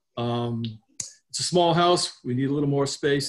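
A man's voice at a fairly high pitch. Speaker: homeowner applicant. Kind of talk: presentation. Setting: video call. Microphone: video call.

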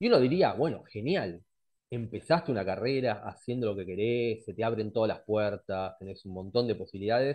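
With a normal speaking voice at medium pitch, a man talks at a fairly quick pace with ordinary pitch variation and big swings in loudness, the background quiet. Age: 40s. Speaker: astrologer; presenter. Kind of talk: lecture. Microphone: headset.

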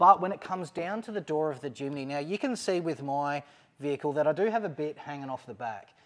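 A man with an Australian accent speaks very fast and with lively intonation. His pitch is fairly high, and the background is quiet. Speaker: overlanding vehicle YouTuber. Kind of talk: product install video, casual chat. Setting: mechanic's workshop. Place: garage. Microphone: lapel.

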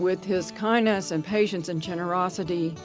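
Music plays in the background as the speaker talks with fairly even intonation. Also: woman. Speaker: nurse. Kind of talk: testimonial.

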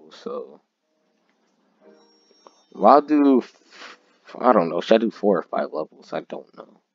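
A man speaks at a fairly slow pace with long, frequent pauses and big swings in loudness. The sound is dry and close with no echo, and music plays in the background. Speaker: gaming YouTuber. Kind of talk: casual gameplay commentary.

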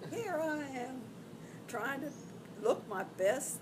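Noticeable background noise sits behind this recording. A woman talks in a high voice with an American accent. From Arkansas, USA. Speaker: retired flight attendant. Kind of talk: interview answer.

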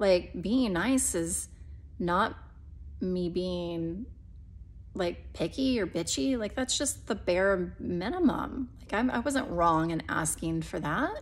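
A woman with a fairly low pitch and vocal fry speaks at a very slow pace. Her intonation is lively. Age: 30s. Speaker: vlogger, mother of eight. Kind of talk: casual vlog update. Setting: filmed at home. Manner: halting, many fillers.

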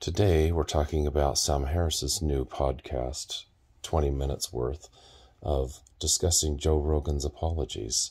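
At a very slow pace, a somewhat breathy voice speaks with ordinary pitch variation over a quiet background. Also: man. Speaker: self-styled podcast host. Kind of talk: casual vlog commentary. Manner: groggy, just-woke-up voice in bed. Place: home room. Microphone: phone near.

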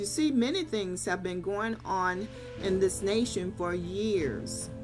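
A woman speaking at a very slow pace, with clear music in the background. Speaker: lay preacher. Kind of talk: sermon. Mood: earnest, exhorting. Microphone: webcam.

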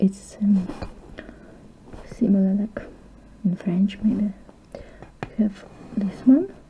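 A soft-spoken woman talks at a very slow pace with fairly even intonation and long, frequent pauses. Light background noise can be heard. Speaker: ASMR creator. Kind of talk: ASMR teacher roleplay lesson. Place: home room. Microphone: webcam.

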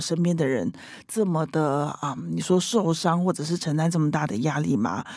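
A woman speaks at a moderate pace with fairly low pitch, a dark, mellow tone and lively intonation, on a very clean recording with a silent background. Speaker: leadership coach. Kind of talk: interview. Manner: loud.

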